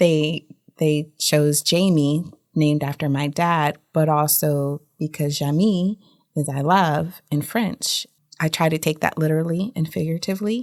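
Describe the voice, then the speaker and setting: A woman with an American accent and a very deep, low pitch, ordinary pitch variation and a fairly slow pace, on a very clean recording with a silent background. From Germany, then US South (military family). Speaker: tax attorney. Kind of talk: interview conversation.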